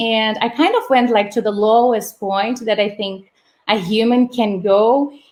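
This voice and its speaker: A woman with a Portuguese accent speaks at a fairly slow pace and fairly high pitch, with ordinary pitch variation. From Brazil. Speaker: startup housing operations manager. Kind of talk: live-streamed interview. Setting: live video stream. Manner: hesitant, many fillers.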